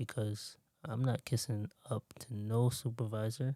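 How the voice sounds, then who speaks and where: Soft-spoken and dark, mellow in tone, a man talks at a medium pitch in a dry, close sound with no echo. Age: 20s. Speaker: motivational podcaster. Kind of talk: motivational monologue. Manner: casual.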